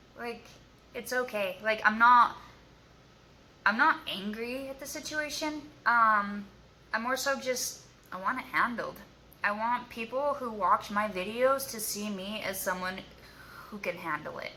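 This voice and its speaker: A woman with a fairly high pitch talks at a fairly slow pace, leaving long, frequent pauses. Her tone is bright and sharp, with ordinary pitch variation and big swings in loudness. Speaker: YouTuber sharing abuse survivor story. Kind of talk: casual vlog to camera. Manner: halting, filler-heavy.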